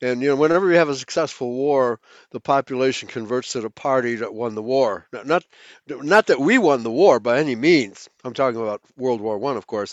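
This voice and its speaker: Speaking at a fairly quick pace, a man uses an unremarkable speaking voice at a medium pitch with ordinary pitch variation. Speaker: guest. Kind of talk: casual chat.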